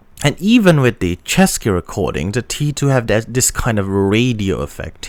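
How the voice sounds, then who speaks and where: A man with a non-native accent, fairly slow, with very wide pitch swings. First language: not English. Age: young. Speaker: audio gear reviewer. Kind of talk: product review. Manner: halting, with many fillers and restarts.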